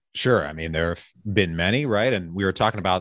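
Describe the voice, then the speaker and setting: A man with an American accent talks very fast in a very deep, low pitch with ordinary pitch variation. The sound is dry and close, with no echo. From Pennsylvania. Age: 30s. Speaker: real estate investor and podcast host. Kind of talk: interview. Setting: video call.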